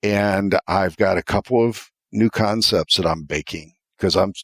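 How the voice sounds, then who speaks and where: The voice has an American accent, recorded very cleanly with a silent background and a dry, close sound that carries no echo. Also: man. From US Midwest, Ohio. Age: 60s. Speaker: retired corporate executive. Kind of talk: podcast interview. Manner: halting, frequent fillers and restarts.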